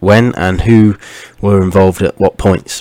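Quiet and very deep, a man's voice comes across dry and close with no echo, at a moderate pace with fairly even intonation. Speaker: podcast host. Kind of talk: history talk. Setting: at home late at night.

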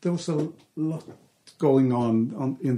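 This man's voice has a dark, mellow tone and is somewhat breathy, moving at a very slow pace with ordinary pitch variation. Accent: Icelandic. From Iceland. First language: Icelandic. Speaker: artist. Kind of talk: interview. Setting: artist's studio. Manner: halting.

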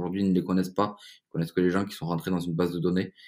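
Very clean audio of a man, the background silent. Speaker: entrepreneur. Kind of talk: interview. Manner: hesitant with repetitions.

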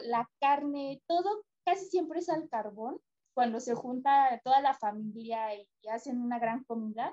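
A woman speaks at a fairly slow pace in a Mexican accent, with a dark, mellow tone and lively intonation. The sound is dry and close with no echo. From Mexico. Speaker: travel agency worker, tourism graduate. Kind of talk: casual interview chat.

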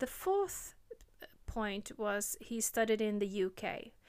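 In a very clean recording with a silent background, a woman with a British accent speaks very slowly at a fairly high pitch. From Norway. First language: Norwegian. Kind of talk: personal storytelling monologue. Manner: halting, with fillers and self-corrections.

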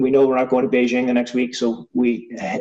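With a Canadian accent, a man has an ordinary speaking voice at medium pitch with ordinary pitch variation. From small-town Ontario, Canada. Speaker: former rugby sevens captain. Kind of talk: casual interview.

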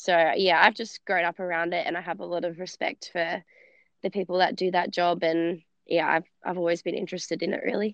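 With an Australian accent, a woman speaks at a fairly low pitch and a fairly quick pace in a monotone, flat intonation. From Australia, base of the Blue Mountains (NSW). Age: 20s. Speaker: CrossFit athlete. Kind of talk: interview.

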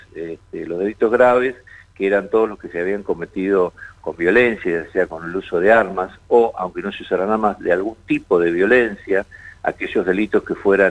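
Big swings in loudness at a moderate pace. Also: man. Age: 60s. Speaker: judge. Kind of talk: radio interview.

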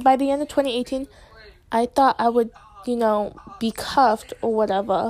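A woman with an American accent, fairly slow pace and ordinary pitch variation. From United States. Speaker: amateur podcaster. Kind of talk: casual chat. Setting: at a friend's house with friends present. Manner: rambling with frequent fillers and laughter.

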